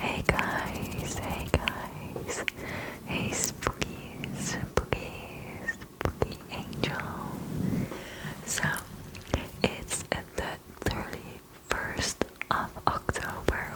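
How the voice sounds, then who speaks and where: A woman whispers very slowly with long, frequent pauses. Noticeable background noise can be heard. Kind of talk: casual talk to camera, intro greeting. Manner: whispered, soft-spoken.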